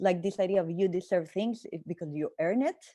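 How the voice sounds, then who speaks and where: Over a quiet background, a woman talks at a fairly quick pace in a Spanish accent. Her tone is dark and mellow. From Colombia. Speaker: panelist. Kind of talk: panel discussion.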